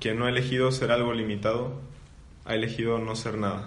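Man at a medium pitch, monotone and flat, moderate in pace, with audible room echo. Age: 20s. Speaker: seminarian. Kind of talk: casual chat.

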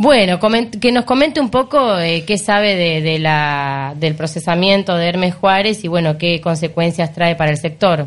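A woman with an unremarkable speaking voice, fairly low in pitch, ordinary in pitch variation, at a fairly slow pace. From Argentina, Mar del Plata. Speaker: radio co-host. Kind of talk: radio interview.

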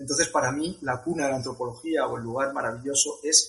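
A man with a fairly high voice and fairly even intonation speaks in an ordinary speaking voice. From Spain, Madrid (Leganés). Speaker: travel coordinator. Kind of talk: interview.

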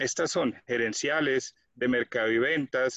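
Here a man with a medium pitch has an unremarkable speaking voice. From Colombia. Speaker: quality management consultant. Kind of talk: tutorial.

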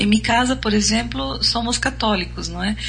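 A woman speaks in a Brazilian accent. There is audible room echo and noticeable background noise. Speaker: radio host. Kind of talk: casual chat.

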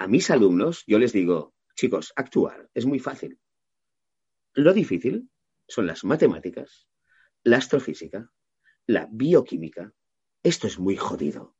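A man speaks fairly slowly, with long, frequent pauses and vocal fry. His pitch swings very widely. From Catalonia, Maresme (Mataró). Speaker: voice actor. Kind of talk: interview.

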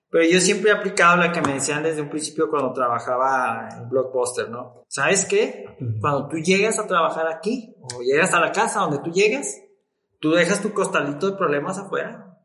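A man with a high-pitched voice and a bright, sharp tone speaks at a moderate pace with lively intonation, with audible room echo around him. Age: 30s. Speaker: business administrator. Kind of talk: casual chat.

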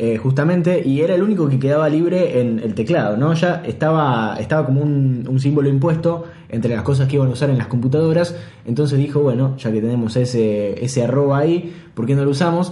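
A man with a Rioplatense accent talks at a fairly quick pace and fairly high pitch, with ordinary pitch variation and very even loudness, amid noticeable background noise and audible room echo. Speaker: podcast host. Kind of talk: casual chat.

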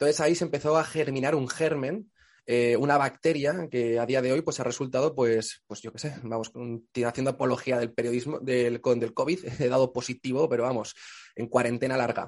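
His voice sits at a medium pitch. The man talks at a moderate pace. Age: 20s. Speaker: journalist and comedian. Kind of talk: casual chat. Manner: animated.

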